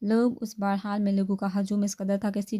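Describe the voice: What you hear is plain reading aloud.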